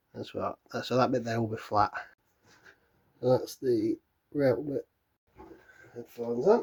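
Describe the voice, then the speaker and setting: Fairly slow speech in a British accent, with long, frequent pauses and a dry, close sound with no echo. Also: man. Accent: regional British. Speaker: drum maker. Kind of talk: casual workshop talk to camera. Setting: workshop, camera microphone.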